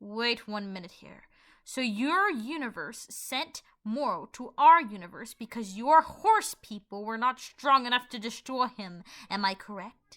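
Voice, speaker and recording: In a very clean recording with a silent background, a woman performs a put-on character voice at a fairly high pitch and moderate pace. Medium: read story. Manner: brusque, accusing.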